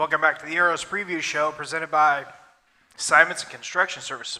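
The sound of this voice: A hoarse, put-on character voice from a man, fairly high-pitched and monotone, with flat intonation at a very fast pace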